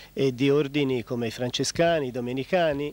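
A man speaks in a calm tone at a moderate pace, with ordinary pitch variation and a dry sound with no echo. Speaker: friar, convent superior. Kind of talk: TV interview answers, explanatory. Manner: calm, formal, explanatory. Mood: calm, thoughtful. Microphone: handheld.

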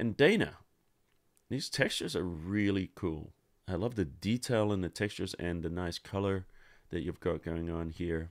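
A man's very deep, low voice with ordinary pitch variation at a moderate pace over a quiet background. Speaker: Photoshop tutorial host. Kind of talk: live-stream tutorial. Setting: livestream with online chat. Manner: not loud, subdued.

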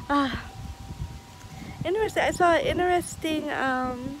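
Over noticeable background noise, a woman talks at a fairly slow pace in a dry sound with no echo. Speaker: vlogger. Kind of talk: casual vlog chat. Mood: relaxed, laughing. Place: garden. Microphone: phone near.

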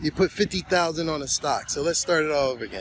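Delivered at a moderate pace with ordinary pitch variation, the voice sounds dry with no echo over light background noise. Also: man. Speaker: finance vlogger. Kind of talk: casual vlog chat. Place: garden. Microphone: phone near.

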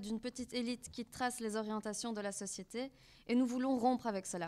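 This woman's voice is high-pitched. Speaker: student activist, moderator; moderator. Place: hall. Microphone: podium.

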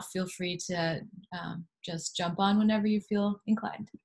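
A woman speaks at a medium pitch, somewhat breathy, against a quiet background. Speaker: panel moderator. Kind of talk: panel moderation. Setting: video call. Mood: warm, friendly. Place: home room. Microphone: video call.

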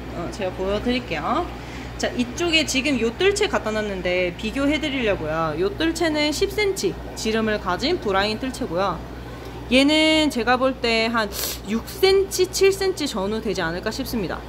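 Noticeable background noise accompanies the recording. A woman speaks at a fairly slow pace. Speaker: aquarium shop seller. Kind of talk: live stream sales commentary. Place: shop. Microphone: phone near.

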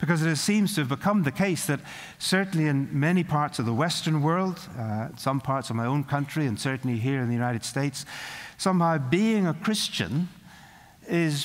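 This man speaks with a Northern Irish accent and a fairly high pitch. His pace is moderate. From Northern Ireland. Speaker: preacher. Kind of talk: sermon. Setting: college chapel service. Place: hall. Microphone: podium.

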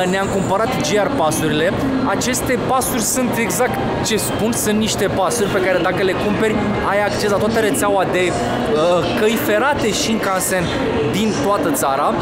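Music sits in the background as the voice moves with ordinary pitch variation and long, frequent pauses. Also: man, moderate pace. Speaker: travel vlogger. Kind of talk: casual vlog chat. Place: station. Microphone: phone near.

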